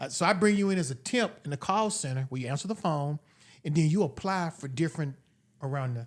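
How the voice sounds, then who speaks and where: A man's fairly high voice, very fast and with lively intonation, on a very clean recording with a silent background. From Denver, Colorado. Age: 60s. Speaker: county assessor and mayoral candidate. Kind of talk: podcast interview. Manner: casual, conversational.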